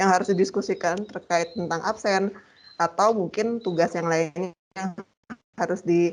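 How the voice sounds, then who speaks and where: A woman talks at a moderate pace in an ordinary speaking voice. Her intonation is fairly even. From Bali, Gianyar. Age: 30s. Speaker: university lecturer. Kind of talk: lecture.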